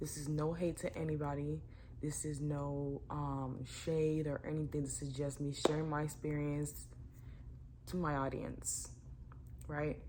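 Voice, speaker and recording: A woman's monotone, flat delivery at a fairly slow pace, with long, frequent pauses and audible room echo. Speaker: YouTuber. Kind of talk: storytime vlog. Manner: casual, filler-heavy; talking too low.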